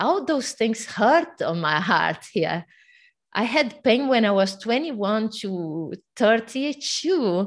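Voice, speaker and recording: A woman with a Portuguese accent speaks at a very slow pace. Her pitch is fairly high, and the background is quiet. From Brazil. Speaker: fitness coach. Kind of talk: interview. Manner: animated.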